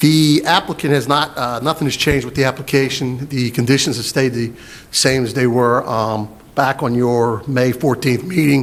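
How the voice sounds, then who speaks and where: Fairly even intonation marks this man's medium-pitched speech, delivered at a moderate pace. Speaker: county planning staff. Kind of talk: public meeting presentation. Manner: loud; halting, many fillers.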